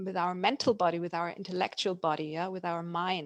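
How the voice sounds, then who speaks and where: In a German accent, a woman speaks at a medium pitch with a dry, close sound and no echo. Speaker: emotional competence coach. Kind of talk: live online talk. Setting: live video call. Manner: halting.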